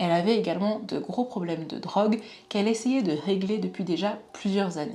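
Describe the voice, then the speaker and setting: A woman's voice comes with noticeable background noise. Audible room echo surrounds it. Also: medium pitch for a woman, ordinary pitch variation, fairly quick pace. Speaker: true crime youtuber. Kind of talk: true crime narration.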